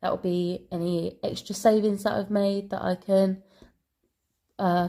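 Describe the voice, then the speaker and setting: With a British accent, a woman speaks at a fairly slow pace in a dark, mellow tone and monotone, flat intonation, on a very clean recording with a silent background. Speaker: budgeting vlogger. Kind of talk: casual vlog talk. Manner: hesitant, many ums and ahs.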